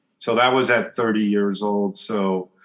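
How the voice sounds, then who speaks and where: Speaking at a fairly slow pace, a man with a West Coast US accent talks at medium pitch. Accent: General American (West Coast). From US Pacific Northwest, Portland, Oregon. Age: 60s. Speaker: business coach and author. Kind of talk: interview conversation.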